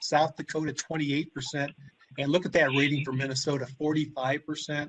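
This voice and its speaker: A man with a Midwestern US accent talks at a fairly quick pace with a fairly high pitch. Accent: US Midwest. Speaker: agronomist. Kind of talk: webinar presentation. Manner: fast.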